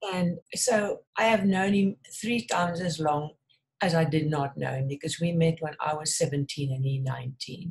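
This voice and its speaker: A woman speaks at a moderate pace with a fairly low pitch. Her voice is somewhat breathy, with ordinary pitch variation. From South Africa. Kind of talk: interview.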